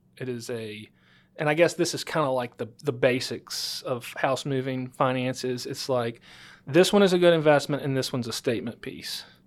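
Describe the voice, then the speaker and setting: A man with a Louisiana accent, medium in pitch, at a moderate pace, with ordinary pitch variation and big swings in loudness, in a very clean recording over a silent background. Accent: Louisiana Southern US. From northwest Louisiana. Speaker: title attorney and podcast host. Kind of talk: interview. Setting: studio.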